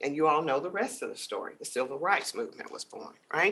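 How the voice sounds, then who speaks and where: An American accent from a woman's voice. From US South, Georgia. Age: 60s. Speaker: legal aid program director. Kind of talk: lecture.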